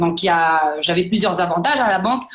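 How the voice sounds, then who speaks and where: A woman speaks with lively intonation, and some room echo can be heard. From New Caledonia. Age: 30s. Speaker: network marketing entrepreneur. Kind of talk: personal testimony. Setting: online live broadcast. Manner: hesitant, many fillers.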